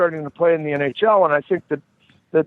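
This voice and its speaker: Here a man talks with a high pitch. His intonation stays fairly even. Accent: Boston. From US Northeast, Boston (Dorchester). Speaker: former hockey enforcer and referee. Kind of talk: casual chat.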